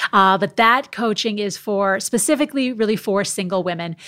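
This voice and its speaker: Using an ordinary speaking voice, a woman with an American accent talks at a medium pitch with ordinary pitch variation. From US Midwest, Minnesota. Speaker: former TV sports reporter. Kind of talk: interview conversation.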